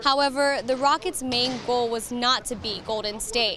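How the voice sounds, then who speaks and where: Over music in the background, a woman speaks at a moderate pace with fairly even intonation. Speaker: sports reporter. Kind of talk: sports news report.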